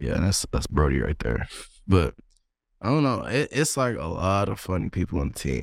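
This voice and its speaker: A man with an American accent, very deep and low in pitch, with very wide pitch swings and vocal fry, at a moderate pace, on a very clean recording with a silent background. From East Texas. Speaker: college football player. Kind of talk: casual chat.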